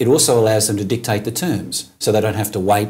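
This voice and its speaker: A man at a fairly quick pace, fairly low in pitch and somewhat breathy. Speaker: auctioneer, state auctioneering champion. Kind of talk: interview answer.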